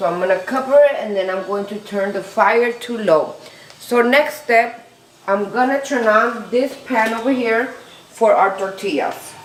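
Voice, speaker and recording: A woman with a Spanish accent speaks at a fairly slow pace with ordinary pitch variation, with audible room echo and noticeable background noise. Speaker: home cook. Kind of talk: cooking tutorial. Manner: casual, slightly halting.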